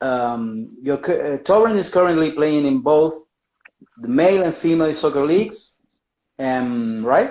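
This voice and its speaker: A fairly slow delivery in an Argentine accent. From Argentina. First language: Spanish. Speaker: podcast host. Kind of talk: interview. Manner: halting.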